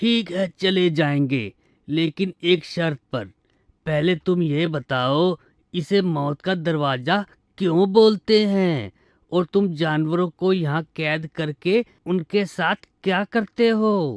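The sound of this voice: A cartoonish character voice at a middle pitch moves at a very slow pace.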